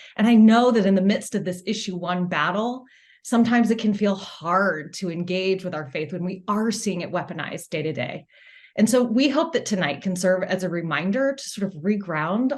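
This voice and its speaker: A woman with an American accent and an unremarkable speaking voice talks at medium pitch and a moderate pace with lively intonation. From US South, Atlanta. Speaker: political organization founder. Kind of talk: opening remarks at online event.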